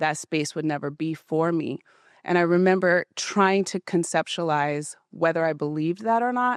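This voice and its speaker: With an American accent, a woman at a fairly low pitch speaks over a quiet background in a dry, close sound with no echo. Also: ordinary pitch variation, moderate pace. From Utah, US (Ogden). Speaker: gym member sharing personal story. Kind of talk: interview testimony. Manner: loud.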